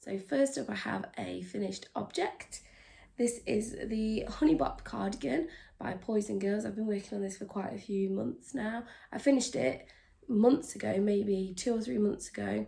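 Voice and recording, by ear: A woman's put-on character voice, raspy, husky and croaky, at a medium pitch and moderate pace.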